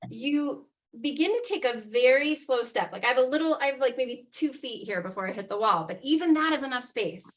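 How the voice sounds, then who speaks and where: A woman's high-pitched voice with lively intonation, a fairly quick pace and hardly any pauses. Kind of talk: guided exercise instruction. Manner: fast; casual, animated.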